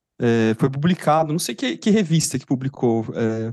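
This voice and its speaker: Dry and close with no echo, a man with an ordinary speaking voice talks at a moderate pace with lively intonation. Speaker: psychologist podcast co-host. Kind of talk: casual chat.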